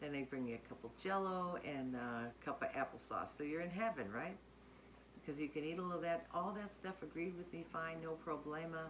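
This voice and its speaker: Speaking at a moderate pace, a woman with a plain, everyday voice talks at a fairly low pitch with ordinary pitch variation. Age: 60s. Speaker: weight-loss surgery vlogger. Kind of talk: casual talk to camera.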